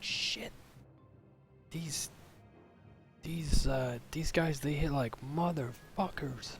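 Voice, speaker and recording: With clear music in the background, a man whispers in a put-on character voice at a very slow pace. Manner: whispering.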